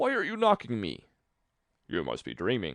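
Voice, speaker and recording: A man's put-on character voice, growling, at a moderate pace. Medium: read story. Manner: growling, quarrelsome.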